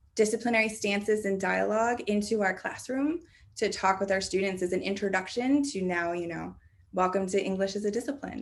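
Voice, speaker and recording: The woman's pitch is medium, with ordinary pitch variation. She talks at a fairly quick pace. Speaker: keynote speaker on higher education assessment. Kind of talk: Q&A answer after keynote lecture. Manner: fast.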